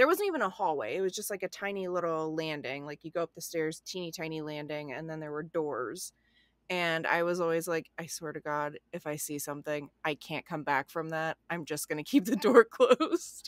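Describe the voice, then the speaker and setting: A woman speaks in an ordinary speaking voice, fairly low in pitch, at a fairly quick pace with hardly any pauses and big swings in loudness. The recording is very clean with a silent background and a dry, close sound with no echo. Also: ordinary pitch variation. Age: 30s. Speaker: comedian and photographer. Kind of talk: casual chat.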